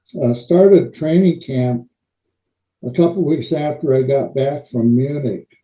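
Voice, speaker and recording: Here a man with an American accent speaks at a fairly slow pace in a fairly high, somewhat breathy voice. His pitch varies in an ordinary way. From US Pacific Northwest, Portland, Oregon. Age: 70s. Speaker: retired pro wrestler and Olympic weightlifter. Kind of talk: interview.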